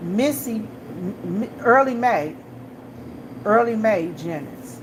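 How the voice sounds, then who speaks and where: In an American accent, a woman speaks at a very slow pace with very wide pitch swings, amid noticeable background noise and audible room echo. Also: medium pitch for a woman. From Washington DC. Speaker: gas station clerk and vlogger. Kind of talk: casual chat.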